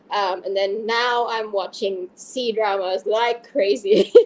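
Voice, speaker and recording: At a very slow pace, a woman with a non-native accent speaks using lively intonation. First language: not English. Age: 40s. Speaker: fantasy author. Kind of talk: interview.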